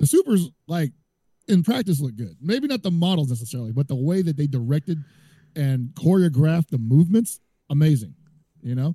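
The man's voice sits at a fairly high pitch with a dark, mellow tone and a dry, close sound with no echo. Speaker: fighting game commentator. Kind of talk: casual chat. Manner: loud.

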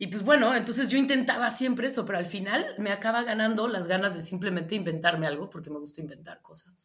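A woman with a Mexican accent speaks very fast, with hardly any pauses. Her medium-pitched voice has lively intonation and big swings in loudness. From Mexico, Michoacán (Morelia). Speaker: writer and boxing chronicler. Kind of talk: interview.

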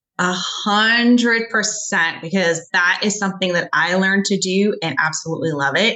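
A woman uses an ordinary speaking voice at a medium pitch, with ordinary pitch variation. She keeps a moderate pace and very even loudness, with hardly any pauses. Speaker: coach, speaker and author. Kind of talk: casual interview chat.

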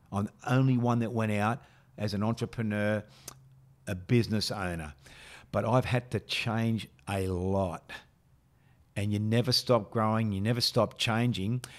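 With a strong Australian accent, a man speaks at a moderate pace in a fairly low pitch and fairly even intonation, leaving long, frequent pauses on a very clean recording with a silent background. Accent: broad Australian. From western Sydney, Australia. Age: 50s. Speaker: business leadership mentor. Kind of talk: podcast interview. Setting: studio.

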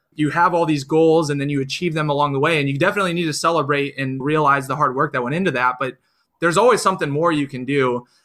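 This voice has an American accent and moves at a very fast pace. Its pitch varies in an ordinary way. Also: man. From Iowa, US Midwest. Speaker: amateur runner and entrepreneur. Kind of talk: interview conversation.

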